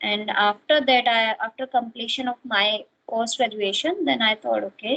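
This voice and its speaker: In an Indian accent, the speaker goes at a fairly slow pace with ordinary pitch variation. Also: woman. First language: Hindi. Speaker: English learner. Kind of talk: casual chat. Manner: halting.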